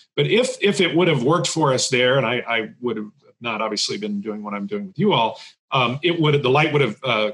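Over a quiet background, a man talks at a very fast pace with lively intonation. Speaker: assistant dean and journalism instructor. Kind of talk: software tutorial. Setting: video call. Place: home room. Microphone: studio mic.

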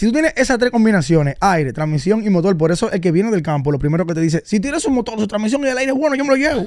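With a Dominican accent, a man talks at a very fast pace with hardly any pauses, a high pitch and very wide pitch swings, in a dry sound with no echo against a quiet background. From Dominican Republic. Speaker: car content creator and vehicle advisor; podcast guest. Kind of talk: casual interview. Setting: radio studio. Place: studio. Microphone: studio mic.

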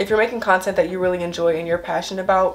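Woman with fairly even intonation over light background noise. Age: young. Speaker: lifestyle and hygiene YouTuber. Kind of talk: casual talk to camera. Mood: warm, encouraging. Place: home room. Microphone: camera far.

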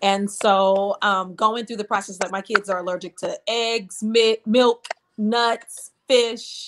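Speaking at a very slow pace, a woman keeps a monotone, flat intonation amid noticeable background noise. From New Orleans. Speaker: gospel singer; guest. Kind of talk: interview. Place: home room. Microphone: video call.

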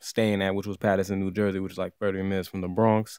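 A man's fairly low voice at a fairly quick pace, with fairly even intonation, on a very clean recording with a silent background. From Massachusetts, Worcester. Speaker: YouTuber. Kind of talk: casual commentary vlog. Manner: informal, halting.

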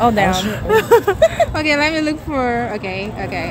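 A woman talks at a very slow pace. Crowd noise is in the background, and the sound is dry with no echo. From Nigeria. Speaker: YouTuber doing street interviews. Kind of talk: street interview vlog. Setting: outdoors on a city street. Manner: animated, laughs often. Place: street.

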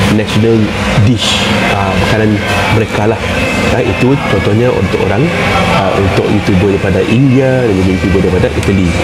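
Loud background noise fills the recording. A man speaks with ordinary pitch variation. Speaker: commentator on viral food issues. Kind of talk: casual commentary chat. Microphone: phone near.

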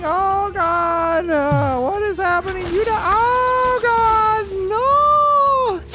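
Loud background noise sits under a put-on character voice pitched extremely high. It speaks at a very slow pace.

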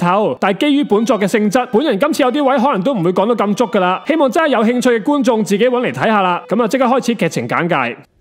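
A high-pitched man with lively intonation at a very fast pace, over noticeable background noise. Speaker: anime review YouTuber. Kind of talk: scripted video commentary.

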